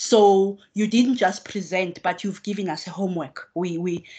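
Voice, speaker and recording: A woman speaks at a fairly slow pace with fairly even intonation. The background is quiet. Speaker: professor. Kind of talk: vote of thanks speech. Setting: video call. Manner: joking. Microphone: video call.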